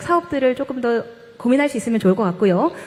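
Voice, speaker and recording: The voice moves through very wide pitch swings. Noticeable background noise runs underneath. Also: woman. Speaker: professor and esports caster. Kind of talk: panel discussion. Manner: fast.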